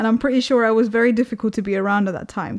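This woman has a plain, everyday voice, pitched fairly high, with ordinary pitch variation. The recording is very clean, and the background is silent. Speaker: podcast host. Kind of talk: casual chat.

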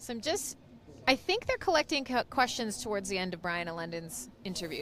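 A woman's medium-pitched voice with a Canadian accent. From western Canada. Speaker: livestream co-host interviewing conference speakers. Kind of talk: casual interview chat. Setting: outdoors beside conference stage, in the shade. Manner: animated.

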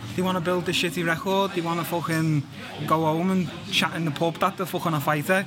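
Noticeable background noise sits behind a man with a Liverpool accent. He talks at a very fast pace with fairly even intonation. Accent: Scouse. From Liverpool, England. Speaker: MMA fighter. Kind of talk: pre-recorded interview.

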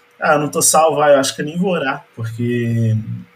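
A man's fairly quick, fairly even-toned speech over noticeable background noise. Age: 20s. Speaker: tax inspector, church photographer. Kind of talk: casual chat.

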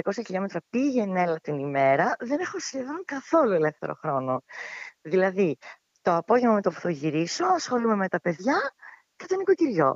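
Very wide pitch swings from a woman at a moderate speed. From Greece, Evros (Thrace), Alexandroupoli. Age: 40s. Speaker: civil servant and mother. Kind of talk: casual interview.

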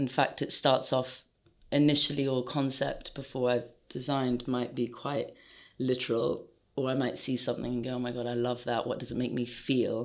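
A woman speaks with an RP accent at a moderate pace. Her pitch is very deep and low. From England, London. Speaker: footwear designer. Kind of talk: interview.

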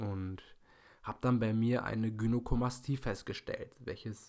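Here is a man with a plain, everyday voice. He talks at medium pitch and a moderate pace, with fairly even intonation. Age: 20s. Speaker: podcast host and fitness student. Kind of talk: solo podcast monologue.

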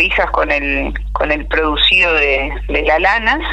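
The speaker has a Uruguayan accent and a fairly slow pace. Noticeable background noise is present. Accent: Uruguayan Spanish (rioplatense). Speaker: agricultural communicator. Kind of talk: interview.

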